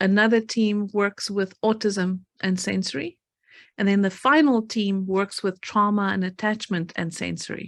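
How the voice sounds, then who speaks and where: A woman with an American accent, medium pitch, fairly even intonation and a moderate pace. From South Africa, Cape Town. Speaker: pediatric therapist. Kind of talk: webinar presentation. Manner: halting, many fillers.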